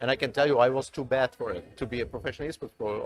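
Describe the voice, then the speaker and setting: In a German accent, the speaker moves at a very fast pace with fairly even intonation. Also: man. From East Germany. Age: 30s. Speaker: esports executive. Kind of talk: interview. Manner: halting.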